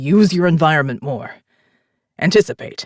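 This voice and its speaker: A put-on character voice in a middle pitch, delivered at a moderate pace. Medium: read story. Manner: commanding, terse.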